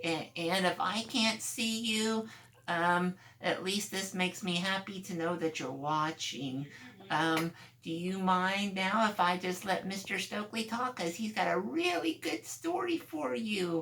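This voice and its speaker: In a put-on character voice pitched high for a man, he talks at a fairly slow pace. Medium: read story. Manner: hesitant, stammering.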